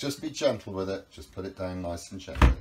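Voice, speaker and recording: Loud background noise fills the clip. Through it, a man can be heard talking. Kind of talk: guided tour explanation. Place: boat. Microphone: camera far.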